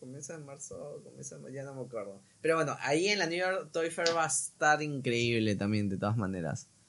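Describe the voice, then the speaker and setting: A man with a fairly high pitch and a plain, everyday voice talks at a fairly quick pace with hardly any pauses, lively intonation, and big swings in loudness. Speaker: toy collector and content creator. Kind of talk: casual chat.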